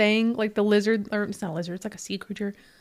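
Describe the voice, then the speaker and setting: A woman talks at a very fast pace. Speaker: paranormal podcast co-host. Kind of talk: casual chat. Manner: laughs often.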